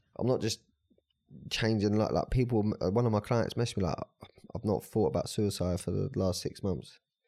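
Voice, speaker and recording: A man talks fairly quickly in a southern English accent. His pitch is fairly low, with ordinary pitch variation. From Brighton, southern England. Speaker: life coach and personal trainer. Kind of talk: casual chat.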